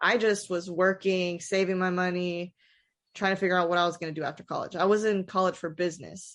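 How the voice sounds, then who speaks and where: A woman with an American accent, monotone and flat in intonation, over a quiet background. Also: medium pitch for a woman. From US South. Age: 20s. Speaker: sneaker shop owner. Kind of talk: casual chat. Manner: halting.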